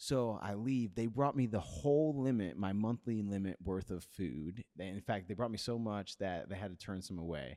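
This is an ordinary speaking voice: a man with a fairly low pitch and lively intonation, talking at a moderate pace with hardly any pauses. The recording is very clean, with a silent background. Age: 30s. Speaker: podcast host. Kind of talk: casual chat.

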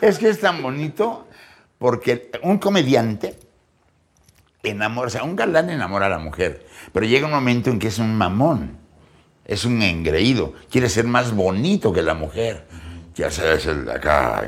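A man speaks at a medium pitch and a moderate pace, with very wide pitch swings. There is vocal fry, and his pauses are long and frequent. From Mexico City. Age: 60s. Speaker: comedian. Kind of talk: casual chat. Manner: animated.

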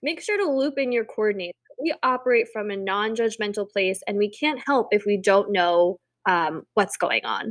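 A woman's plain, everyday voice, fairly high-pitched with lively intonation, dry and close with no echo, on a very clean recording with a silent background. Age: 30s. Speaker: wedding podcast co-host. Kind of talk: casual chat.

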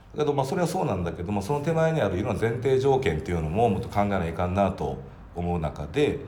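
The speech comes at a very fast pace with very wide pitch swings. Audible room echo and noticeable background noise are present. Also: man, fairly low pitch for a man. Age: 40s. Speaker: company president. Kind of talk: casual chat.

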